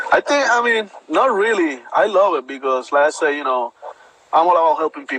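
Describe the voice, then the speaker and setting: Over noticeable background noise, a man with a Puerto Rican accent speaks fairly quickly at a high pitch with very wide pitch swings. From Puerto Rico. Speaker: bodybuilder, army veteran. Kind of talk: interview.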